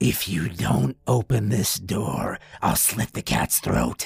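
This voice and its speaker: Putting on a raspy character voice, a man speaks at a fairly low pitch and a fairly slow pace. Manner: sinister, menacing.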